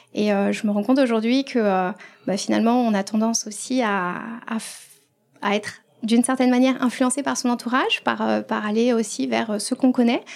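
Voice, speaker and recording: Fairly quick speech from a woman, pitched fairly high, its pitch varying in an ordinary way. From Paris region, France. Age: 30s. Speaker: financial coach and trainer. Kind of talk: casual interview. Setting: coworking space in Paris. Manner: hesitant, many fillers.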